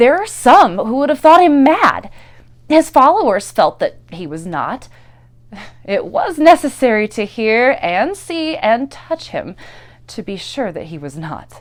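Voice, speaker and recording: Speaking fairly slowly, a woman uses a high pitch with very wide pitch swings and big swings in loudness. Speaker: actor. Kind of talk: dramatic reading.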